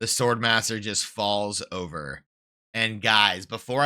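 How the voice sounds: With a quiet background behind it, a natural reading voice keeps its intonation fairly even.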